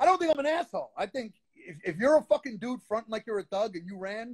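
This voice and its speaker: A man with a Brooklyn accent, high-pitched and animated in tone, at a very fast pace in a dry, close sound with no echo. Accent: New York (Brooklyn). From Brooklyn, New York. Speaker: underground rapper. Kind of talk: casual interview.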